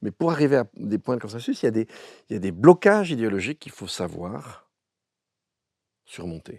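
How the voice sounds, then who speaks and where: Recorded very cleanly over a silent background, a man speaks at medium pitch in a dry, close sound with no echo. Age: 60s. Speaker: philosopher. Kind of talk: interview. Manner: halting, many repetitions.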